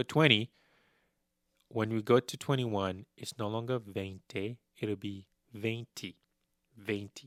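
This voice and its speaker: With a non-native accent, a man speaks very slowly at a fairly low pitch and fairly even intonation, the sound dry and close with no echo. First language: not Spanish. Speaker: language teacher. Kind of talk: tutorial.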